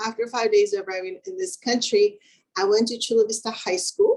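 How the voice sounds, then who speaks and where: Here a woman speaks at a fairly quick pace with a Spanish accent. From Mexico, Acapulco. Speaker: engineer, keynote speaker. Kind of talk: keynote speech.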